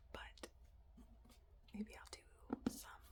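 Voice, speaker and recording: Noticeable background noise sits under a whispered voice. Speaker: ASMR content creator. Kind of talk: ASMR soft rambling. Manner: whispery, soft-spoken.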